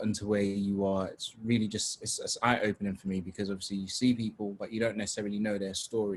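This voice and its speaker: A man talks in a London accent. His pitch is fairly low and his pace fairly quick. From London (Tottenham), arrived from Nigeria at seven. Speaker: webinar host and youth organisation founder. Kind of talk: panel discussion, moderating. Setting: video call webinar. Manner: casual, repetitive stammering.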